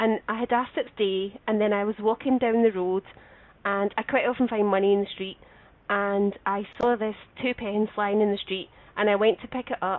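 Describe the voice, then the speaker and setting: With a Scottish accent, a woman speaks fairly quickly at medium pitch with fairly even intonation. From Scotland. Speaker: show co-host. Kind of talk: casual chat with a caller.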